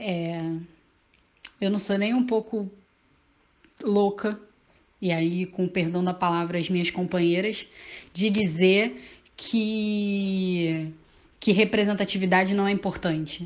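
Very slowly, a woman speaks at a medium pitch with fairly even intonation. Long, frequent pauses break up her speech. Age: 20s. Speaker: teacher and local political candidate; candidate, teacher. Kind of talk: interview.

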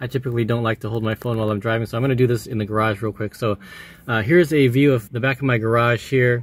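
Ordinary pitch variation marks this man's speech. The sound is dry with no echo. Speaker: car owner reviewing an accessory. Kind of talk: casual product review vlog. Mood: relaxed, satisfied. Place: car. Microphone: phone near.

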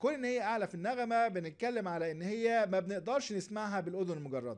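A man with an Egyptian accent, high-pitched, at a fairly quick pace. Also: lively intonation. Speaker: lecturer. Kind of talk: lecture.

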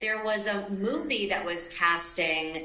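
A woman speaks with ordinary pitch variation, and audible room echo surrounds her voice. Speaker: remote guest actor. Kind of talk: interview answer. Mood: animated, reflective storytelling. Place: home room. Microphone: video call.

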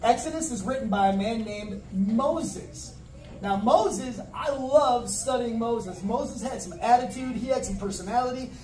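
Big swings in loudness and ordinary pitch variation, with audible room echo and light background noise. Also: woman. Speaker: pastor. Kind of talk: sermon. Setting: church. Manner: animated. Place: church.

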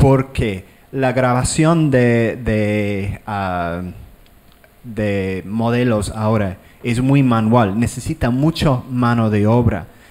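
A man speaks at a very slow pace. His pitch variation is ordinary. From Ireland. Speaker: digital artist; panelist. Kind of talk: panel discussion. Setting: stage with audience. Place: hall. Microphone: handheld.

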